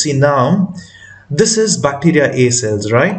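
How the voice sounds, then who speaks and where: Against noticeable background noise and audible room echo, a man with a fairly high pitch speaks at a fairly slow pace. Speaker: math teacher. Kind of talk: tutorial. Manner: hesitant, with fillers.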